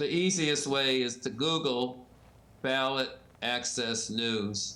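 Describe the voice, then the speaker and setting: A man with a bright, sharp tone speaks at a very slow pace. Room echo can be heard. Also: medium pitch for a man, ordinary pitch variation. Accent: American. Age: 70s. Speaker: ballot access expert and publisher. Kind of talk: interview.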